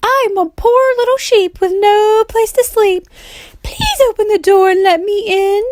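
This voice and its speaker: A woman's put-on character voice at a moderate pace, pitched extremely high. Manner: sweet, feigned innocence.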